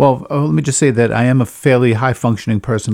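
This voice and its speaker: A man talks at a very fast pace. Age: 50s. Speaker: mental health peer advocate. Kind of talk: personal testimony monologue. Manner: halting, with fillers.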